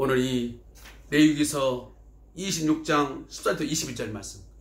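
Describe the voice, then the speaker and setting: A man's words, spoken at a moderate speed, bounce with audible echo from the room. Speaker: pastor. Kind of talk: sermon.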